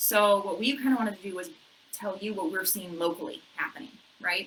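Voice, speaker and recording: Over noticeable background noise, the voice moves at a fairly quick pace with ordinary pitch variation. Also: woman, medium pitch for a woman. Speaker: realtor. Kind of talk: casual chat. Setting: office. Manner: animated.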